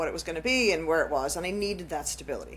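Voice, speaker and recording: A woman speaks at a very fast pace in an Irish accent. Vocal fry runs through her voice. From Ireland. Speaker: podcast host. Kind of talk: casual chat.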